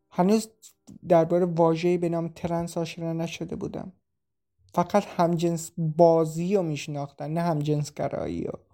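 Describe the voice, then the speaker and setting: Over music in the background, a woman talks in a fairly low pitch with monotone, flat intonation. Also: moderate pace. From Iran, Shiraz region. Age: 20s. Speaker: refugee. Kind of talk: personal testimony.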